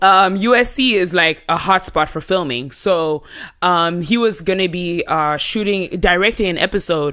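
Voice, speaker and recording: A woman speaks loudly in an animated way. Her tone is bright and sharp. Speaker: pop culture correspondent. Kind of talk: casual chat.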